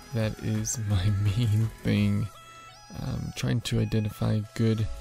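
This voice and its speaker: A man talks at a very slow pace in a dry sound with no echo. Clear music plays in the background. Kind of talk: casual trading commentary. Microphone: studio mic.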